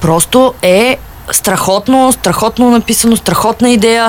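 Over noticeable background noise, a woman speaks at a moderate pace and fairly high pitch in an animated tone. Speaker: book blogger. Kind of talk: casual chat. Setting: studio.

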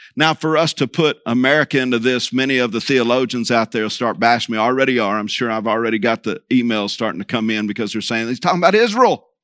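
Speaking very fast with hardly any pauses, a man with a Texan accent keeps a medium pitch and ordinary pitch variation in a dry, close sound with no echo. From Texas Panhandle. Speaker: preacher. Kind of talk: sermon.

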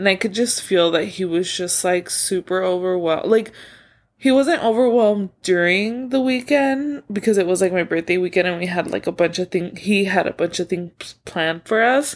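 Speaking at a moderate pace, a woman uses a medium pitch with ordinary pitch variation on a very clean recording with a silent background. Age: 20s. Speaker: podcast host. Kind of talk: casual solo monologue. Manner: filler-heavy, rambling with many likes and ums.

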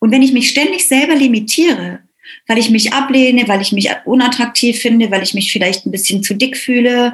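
At a moderate pace, a woman uses a normal speaking voice, fairly high in pitch with ordinary pitch variation. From East Germany. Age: 50s. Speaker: business mentor. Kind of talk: interview.

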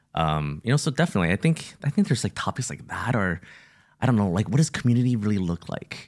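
Very wide pitch swings from a man with a fairly low voice at a very fast pace, dry, close sound with no echo and a very clean recording with a silent background. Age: 40s. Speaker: ministry entrepreneur and podcast co-host. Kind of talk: casual chat.

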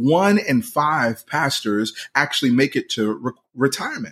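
Delivery comes at a moderate pace with lively intonation. It is a normal speaking voice. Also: man. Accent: American. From Philadelphia, US. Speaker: podcast host and pastor. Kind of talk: motivational monologue.

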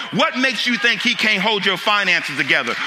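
A man speaks in an animated tone. Music plays behind him. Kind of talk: sermon. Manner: animated, call-and-response preaching with rhetorical questions.

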